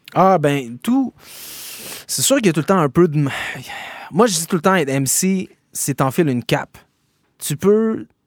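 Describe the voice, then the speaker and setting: With a Quebec accent, a man talks at a moderate pace with lively intonation. The recording is very clean, dry and close, with a silent background and no echo. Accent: Québécois. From Quebec, Gatineau. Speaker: rapper and slam poet. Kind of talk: interview. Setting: studio.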